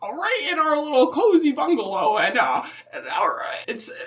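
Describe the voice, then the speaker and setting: Putting on a character voice, a woman speaks high at a moderate pace with very wide pitch swings. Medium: comedy sketch. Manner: rambling, halting, folksy.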